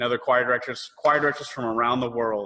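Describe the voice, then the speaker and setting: A man with a Southern US accent, medium-pitched with a bright, sharp tone and ordinary pitch variation. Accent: US South. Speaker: choir director. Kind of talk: virtual parent meeting. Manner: animated.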